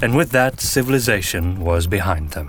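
Vocal fry runs through a man's lively intonation as he speaks at a moderate pace. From Belgium. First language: Dutch (Flemish). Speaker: podcast host and narrator. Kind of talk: audio drama narration.

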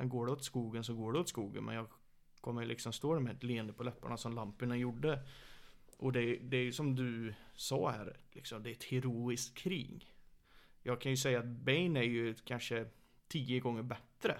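A man with an ordinary speaking voice, medium pitch, moderate pace and fairly even intonation. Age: 30s. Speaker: MMA coach. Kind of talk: casual chat. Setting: living room, shared mic.

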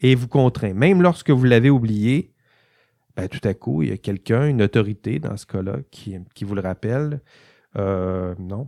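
A man with a Quebec accent speaks at a fairly slow pace in a fairly low, dark, mellow voice, with lively intonation and big swings in loudness. The sound is dry and close with no echo, on a very clean recording with a silent background. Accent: Québécois French. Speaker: university lecturer. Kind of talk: lecture. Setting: studio. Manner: halting, with frequent repetitions.

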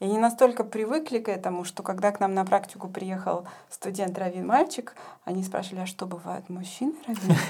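Delivery is fairly quick, set against noticeable background noise. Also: woman, medium pitch for a woman, ordinary pitch variation. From Ukraine. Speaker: rabbinical student, community leader. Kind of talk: podcast interview. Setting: studio.

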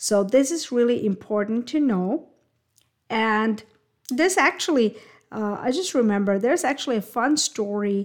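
A woman speaks with a fairly high pitch and ordinary pitch variation. Her pace is moderate. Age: 30s. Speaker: podcast host, business coach. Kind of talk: solo podcast monologue. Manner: animated.

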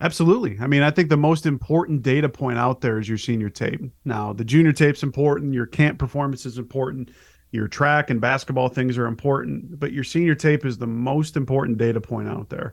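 In a plain, everyday voice, a man speaks at medium pitch and a fairly quick pace with ordinary pitch variation. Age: 30s. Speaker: sports recruiting reporter. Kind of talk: casual interview.

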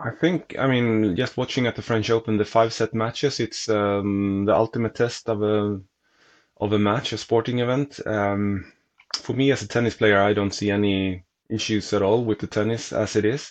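Speaking with a Swedish accent, this man keeps a moderate pace. His pitch is fairly low and his intonation fairly even. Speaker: tennis reporter and racquet reviewer. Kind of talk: casual chat.

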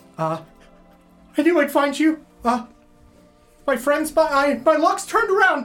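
In a put-on character voice, the speaker moves at a moderate pace with long, frequent pauses while faint music plays in the background. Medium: actual play. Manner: halting, stammering.

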